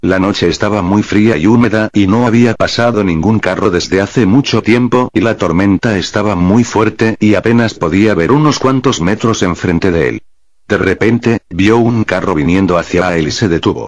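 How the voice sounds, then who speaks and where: This man has a plain, everyday voice, fairly low in pitch, moving at a moderate pace with hardly any pauses, very even loudness and ordinary pitch variation. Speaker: storyteller. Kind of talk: horror story narration.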